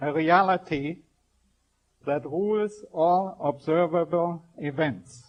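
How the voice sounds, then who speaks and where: Pitched high, a man speaks at a very slow pace with ordinary pitch variation. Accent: strong German. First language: German. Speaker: scientist giving a spiritual talk. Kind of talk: public lecture. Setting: stage with audience. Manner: formal.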